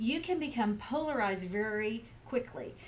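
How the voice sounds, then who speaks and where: Through noticeable background noise, a woman with an American accent speaks at a fairly high pitch with lively intonation. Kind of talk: talk to camera. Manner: conversational.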